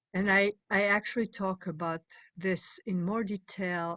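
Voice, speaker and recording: Her pace is fairly slow. A woman speaks with a French accent. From France. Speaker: meditation teacher and panel moderator. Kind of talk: panel discussion. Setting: video call. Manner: halting, many fillers.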